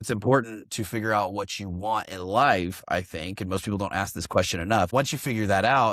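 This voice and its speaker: With an American accent and a normal speaking voice, a man speaks at a fairly low pitch and a fairly quick pace with ordinary pitch variation. The recording is very clean, with a silent background. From Oklahoma, US. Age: 30s. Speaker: real estate investor and business coach. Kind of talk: podcast interview. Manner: casual, filler-heavy.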